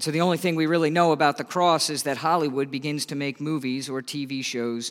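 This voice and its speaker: At a fairly quick speed and with ordinary pitch movement, an unremarkable speaking voice comes through on a very clean recording where the background is silent. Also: man. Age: 30s. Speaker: associate pastor, guest preacher. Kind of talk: sermon.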